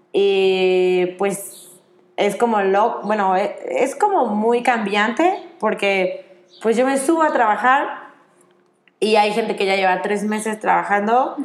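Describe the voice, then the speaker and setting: Speech comes at a very slow pace with ordinary pitch variation, and audible room echo surrounds it. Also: woman. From Mexico. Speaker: children's activities worker on a cruise ship. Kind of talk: interview. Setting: outdoors.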